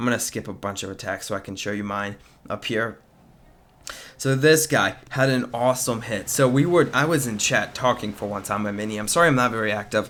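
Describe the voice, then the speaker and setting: In a normal speaking voice, a man talks at a fairly quick pace with medium pitch and ordinary pitch variation. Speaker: gaming video commentator. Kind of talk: gameplay commentary. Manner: casual, many filler words.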